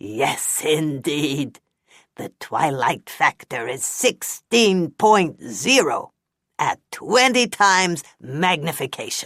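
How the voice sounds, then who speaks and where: The put-on character voice sits at a middle pitch. It moves at a very slow pace. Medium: read story. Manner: chatty, grumbling.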